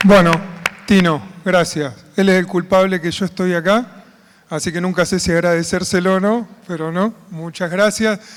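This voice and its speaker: Noticeable background noise sits behind a man with a high-pitched voice. He moves at a moderate pace with fairly even intonation. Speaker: conference moderator, agronomist. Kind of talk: conference opening remarks.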